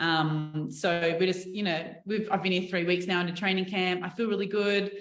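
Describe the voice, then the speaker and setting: Speaking with an Australian accent, a woman at a medium pitch keeps a moderate pace, very even loudness and monotone, flat intonation amid audible room echo. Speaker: professional basketball player. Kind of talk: media interview. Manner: casual, chatty.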